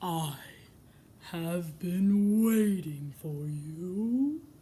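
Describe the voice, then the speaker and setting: A female-sounding put-on character voice, fairly low in pitch, with audible echo. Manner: ominous.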